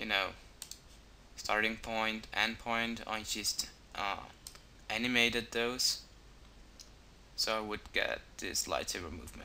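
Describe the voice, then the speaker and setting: A man's medium-pitched voice with a non-native accent, bright and sharp in tone, monotone and flat in intonation, at a fairly slow pace with long, frequent pauses. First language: not English. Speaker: video tutorial maker. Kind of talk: tutorial. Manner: halting, many fillers.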